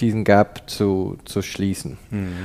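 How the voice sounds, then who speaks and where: In a dark, mellow tone, a man with a fairly low pitch speaks at a very slow pace. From Canada. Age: 50s. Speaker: tea shop founder. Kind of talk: interview. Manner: hesitant, many fillers.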